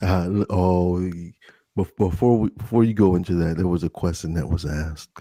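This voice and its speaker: In a dry, close sound with no echo, a man with an American accent speaks at a moderate pace, his very deep, low voice dark and mellow in tone, with fairly even intonation. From US, Delaware. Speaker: ASMR streamer. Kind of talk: casual live-stream chat.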